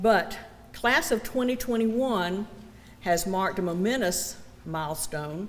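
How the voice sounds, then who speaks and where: A woman with a Southern US accent, set against audible room echo. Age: 60s. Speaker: college program director. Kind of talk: ceremony speech.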